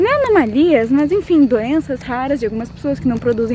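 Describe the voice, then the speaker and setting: Lively in intonation, a woman with a high voice talks at a fairly quick pace over noticeable background noise. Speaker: pharmacy student vlogger. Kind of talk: vlog monologue.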